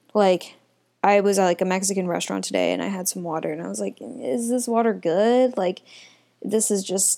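In a very clean recording with a silent background, a woman talks at a moderate pace in an ordinary speaking voice, with medium pitch and ordinary pitch variation. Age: 20s. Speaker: solo podcaster. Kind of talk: casual monologue. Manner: laughing often, filler-heavy.

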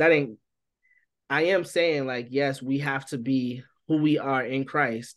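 Speaking at a fairly slow pace with long, frequent pauses, a man with a fairly high voice keeps his intonation fairly even against a quiet background. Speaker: barber and youth minister. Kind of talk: casual interview conversation. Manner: relaxed vernacular speech.

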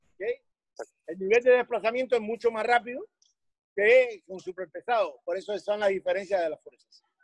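The man's pitch is extremely high, with ordinary pitch variation. He talks at a fairly quick pace in a dry, close sound with no echo. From Cuba, Havana. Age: 60s. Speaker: weightlifting coach. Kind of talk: interview.

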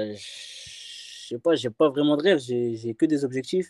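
A man's dark, mellow voice at a very slow pace with ordinary pitch variation, on a very clean recording with a silent background. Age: 20s. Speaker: trainee sports instructor. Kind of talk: interview. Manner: halting.

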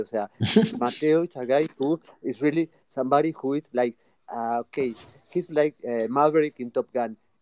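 A man's dark, mellow voice with a Rioplatense Spanish accent, at a moderate pace with ordinary pitch variation, in a dry, close sound with no echo. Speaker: social audio space host. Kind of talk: casual chat. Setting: online audio room.

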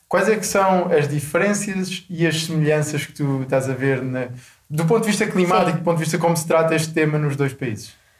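Audible room echo surrounds a man who talks at a fairly quick pace with a fairly high pitch and ordinary pitch variation. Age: 20s. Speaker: podcast host. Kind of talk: interview.

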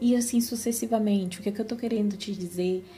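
Audible room echo surrounds speech delivered at a fairly quick pace with fairly even intonation. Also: woman. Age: 30s. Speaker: podcast host, Bible teacher. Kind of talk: devotional Bible reflection.

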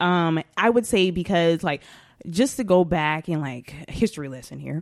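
A woman speaks in a very deep, low pitch. The recording is very clean, with a silent background. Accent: Southern US. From Atlanta, Georgia. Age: 20s. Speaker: podcast host. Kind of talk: casual chat.

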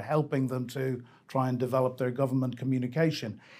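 Speaking at a fairly quick pace, a man with an unremarkable speaking voice and medium pitch is heard on a very clean recording with a silent background. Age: 60s. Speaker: Ukraine expert. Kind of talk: debate.

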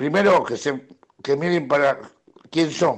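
A man's fairly high voice, fairly slow in pace, with ordinary pitch variation. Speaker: football club fan and long-time member. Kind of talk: recorded voice message. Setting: recorded audio message.

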